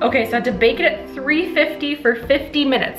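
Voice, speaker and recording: A woman talks with ordinary pitch variation while clear music sounds in the background. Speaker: home baker vlogger. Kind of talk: casual vlog chat. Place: kitchen. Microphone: camera far.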